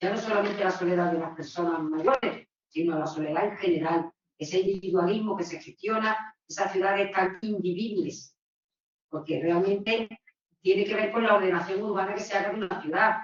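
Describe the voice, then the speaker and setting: A woman talks at a moderate pace in an ordinary speaking voice. Her medium pitch stays fairly even in intonation. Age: 60s. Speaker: audience member at debate. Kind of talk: panel discussion intervention.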